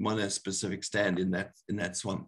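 Over a quiet background, a man talks with vocal fry. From Zimbabwe. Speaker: botany professor. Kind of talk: lecture. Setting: video call. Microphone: webcam.

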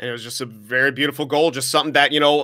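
This man's voice is bright and sharp, with a fairly high pitch and monotone, flat intonation. The recording is very clean, with a silent background. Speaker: esports color commentator. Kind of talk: live commentary.

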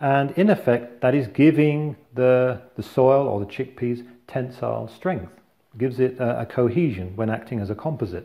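A man speaks at a moderate pace in a somewhat breathy, dark, mellow tone. The background is quiet. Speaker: engineer demonstrating. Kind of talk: tutorial. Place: kitchen. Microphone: lapel.

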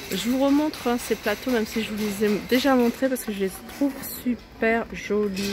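Fairly even intonation from a woman, with noticeable background noise. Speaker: shopping vlogger. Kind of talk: casual shopping haul commentary. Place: shop. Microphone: phone near.

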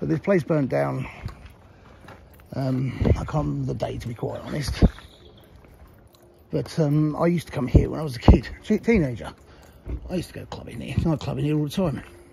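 A man speaks at a fairly quick pace. The sound is dry with no echo, but loud background noise runs throughout. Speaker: video blogger exploring a site. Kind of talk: casual vlog chat. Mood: nostalgic. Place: street. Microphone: phone near.

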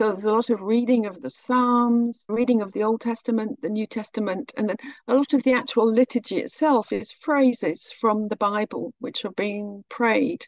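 A woman with a British accent speaks at a fairly high pitch, recorded with a dry, close sound and no echo. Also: ordinary pitch variation, moderate pace, hardly any pauses. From Britain. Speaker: researcher of Orthodox mission. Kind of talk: podcast interview answer.

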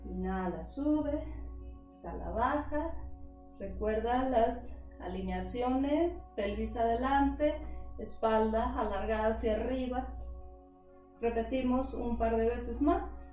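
Speaking at a very slow pace, a woman leaves long, frequent pauses. Faint music plays in the background, and the room echo is audible. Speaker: yoga instructor. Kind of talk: guided exercise instruction. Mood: calm, guiding. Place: home room. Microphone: camera far.

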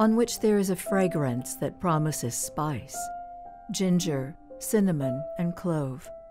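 A woman's fairly low voice at a very slow pace, with very wide pitch swings and music in the background. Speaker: radio announcer. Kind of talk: poetry reading.

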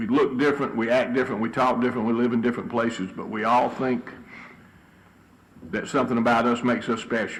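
With a Southern US accent, a man talks at a very fast pace and medium pitch in a monotone, flat intonation, with audible room echo and noticeable background noise. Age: 60s. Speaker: city council member. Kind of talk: council meeting remarks.

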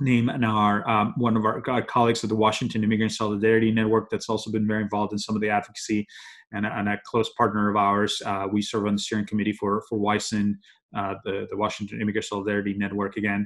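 Talking fast, a man with a fairly low pitch and a fairly bright tone keeps a monotone, flat intonation.

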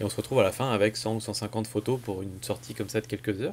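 Over light background noise, a man talks at a very fast pace. His intonation stays fairly even. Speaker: photography vlogger. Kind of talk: casual vlog chat.

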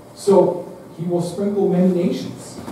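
A man speaks amid strong room echo and light background noise. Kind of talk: liturgical prayer and scripture reading. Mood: solemn. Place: church.

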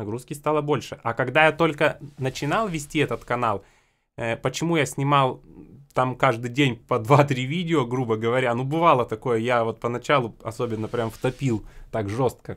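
A man is talking at a moderate pace. His pitch variation is ordinary. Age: 20s. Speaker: accordion teacher and video blogger; music channel host. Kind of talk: casual tutorial. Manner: conversational, repetitive. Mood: relaxed, mildly exasperated. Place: home room. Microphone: studio mic.

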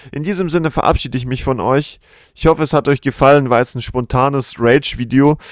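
An animated man at a very fast pace with a fairly high pitch. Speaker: gaming youtuber and student. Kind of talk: angry rant about train delays, commentary-style. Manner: animated, sarcastic, fuming.

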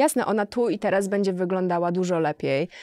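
Speaking at a fairly quick pace, a woman uses a dark, mellow tone and fairly even intonation. The sound is dry with no echo, and the background is quiet. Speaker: model and sociologist. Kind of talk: casual chat. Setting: studio. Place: studio. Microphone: studio mic.

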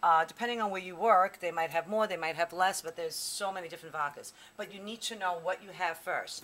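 This woman talks at a fairly quick pace. Her pitch varies in an ordinary way. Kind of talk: tutorial. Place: bar. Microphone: camera far.

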